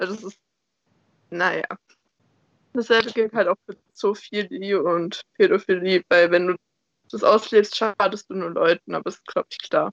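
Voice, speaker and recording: A woman speaks at a fairly slow pace with long, frequent pauses and ordinary pitch variation. The sound is dry and close, with no echo. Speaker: podcast co-host. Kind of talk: casual chat. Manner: squeaky when excited.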